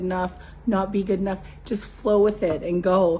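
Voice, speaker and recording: Her voice strained, a woman speaks at a moderate pace and a medium pitch, with monotone, flat intonation. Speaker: spiritual coach. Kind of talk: motivational talk.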